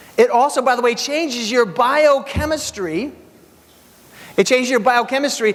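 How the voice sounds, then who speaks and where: A man talks at a moderate pace with an energetic tone. His pitch varies in an ordinary way, and there is noticeable background noise. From Hungary. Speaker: keynote speaker. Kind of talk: motivational keynote speech. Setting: stage with audience.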